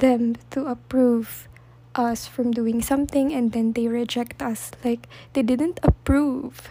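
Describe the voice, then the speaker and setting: At a fairly slow pace, a woman with a Filipino accent speaks at a high pitch in a dark, mellow tone with fairly even intonation. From Philippines. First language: Tagalog. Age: 20s. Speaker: podcast host. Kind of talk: solo podcast monologue.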